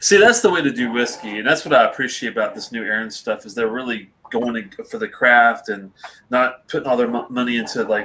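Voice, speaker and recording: In a normal speaking voice, a man talks at a fairly quick pace with medium pitch and ordinary pitch variation. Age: 40s. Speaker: whisky reviewer. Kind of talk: casual chat.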